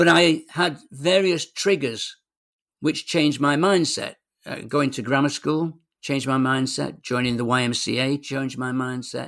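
The voice belongs to a man with a fairly high pitch and ordinary pitch variation. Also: moderate pace. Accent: Mancunian. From northern England, Manchester. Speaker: sports psychologist. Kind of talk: interview conversation.

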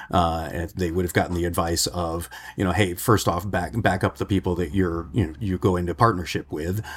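A man speaks at a fairly quick pace with a very deep, low pitch, a somewhat breathy quality, fairly even intonation and hardly any pauses. The recording is very clean, with a silent background. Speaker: editor and journalist. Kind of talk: casual discussion.

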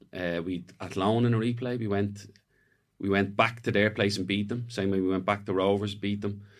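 Speaking with an Irish accent, a man keeps a moderate pace and monotone, flat intonation. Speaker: retired footballer. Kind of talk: casual chat. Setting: studio.

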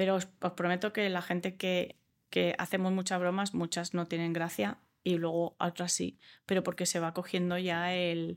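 A woman speaks at a moderate pace with monotone, flat intonation. The recording is very clean, with a silent background. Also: fairly low pitch for a woman, very even loudness. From Australia. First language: English (speaking Spanish). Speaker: comedian. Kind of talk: interview.

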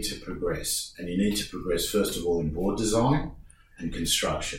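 The speaker has an Australian accent and keeps a moderate pace. Audible room echo surrounds the voice. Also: man. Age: 50s. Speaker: surfboard shaper. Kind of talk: casual chat. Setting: studio.

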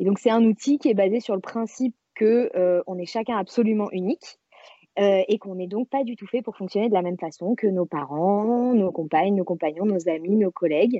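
An ordinary speaking voice from a woman, medium in pitch, moderately paced, with ordinary pitch variation. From France, Marseille. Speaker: self-knowledge coach. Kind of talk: casual interview.

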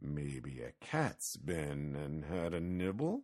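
A man puts on a character voice with extremely low pitch and big pitch swings. His tone is slightly mellow and his pace is slow.

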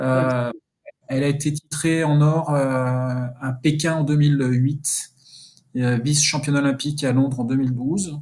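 At a very slow pace, a man with a fairly high pitch speaks in a flat monotone at a very even loudness. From Burgundy, France (Dijon area). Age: 50s. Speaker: sports sponsorship manager. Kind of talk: interview. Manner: hesitant, many repetitions.

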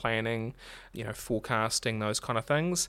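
With a New Zealand accent, a man speaks at a fairly quick pace and medium pitch. The recording is very clean, the background silent. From New Zealand, Marlborough. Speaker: accounting firm director. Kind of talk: interview.

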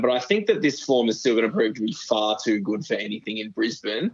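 Speaking with a strong Australian accent, a man keeps a medium pitch, a moderate pace and ordinary pitch variation. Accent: broad Australian. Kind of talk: casual betting chat. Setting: remote headphone link.

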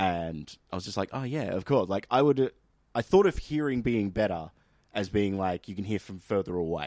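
Heard dry and close with no echo, a man with an Australian accent speaks at a moderate pace in a very deep, low voice. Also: very clean recording, silent background. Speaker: podcast host. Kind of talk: casual comedic chat.

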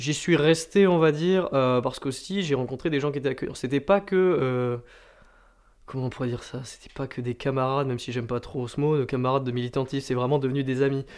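At a fairly quick pace, a man of medium pitch speaks with ordinary pitch variation over a quiet background. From France, Landes (southwest). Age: 20s. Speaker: student political activist. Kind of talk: interview. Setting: at home over a beer. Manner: hesitant with fillers.

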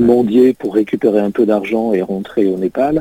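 A man with a normal speaking voice and ordinary pitch variation. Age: 60s. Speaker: president of a humanitarian association. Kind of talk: radio interview.

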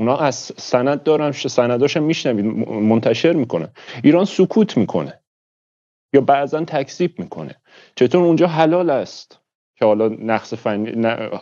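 Against a quiet background, a man speaks at a medium pitch with lively intonation and a dark, mellow tone. His speech has long, frequent pauses. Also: moderate pace. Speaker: audience participant. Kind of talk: heated debate.

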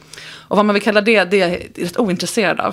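A woman speaks over noticeable background noise. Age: 40s. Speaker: sex coach. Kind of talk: casual chat. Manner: animated.

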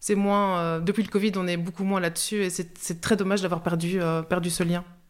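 A woman talks in a flat monotone at medium pitch and a moderate speed. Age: 40s. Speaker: social grocery worker and cook. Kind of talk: interview testimony.

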